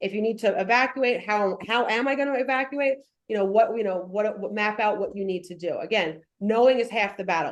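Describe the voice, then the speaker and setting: The speaker talks at a fairly quick pace in a New York accent, with ordinary pitch variation. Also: woman. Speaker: firefighter giving fire safety talk. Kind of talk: presentation. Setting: in-person presentation to audience. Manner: fast.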